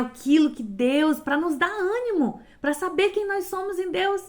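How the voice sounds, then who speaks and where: Audible room echo surrounds a woman speaking fairly slowly in an animated tone. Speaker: lay preacher. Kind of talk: sermon.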